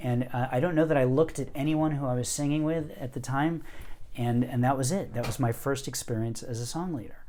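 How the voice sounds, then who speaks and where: Speaking at a fairly quick pace, a man uses a plain, everyday voice at medium pitch with fairly even intonation. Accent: American. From US Northeast. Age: 50s. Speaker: poet and music teacher. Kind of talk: interview storytelling.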